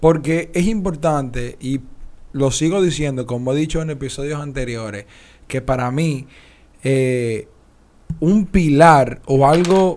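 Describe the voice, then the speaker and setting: A man with a fairly high pitch talks very slowly, and his pitch shifts in an ordinary way. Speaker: podcast co-host. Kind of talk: casual chat.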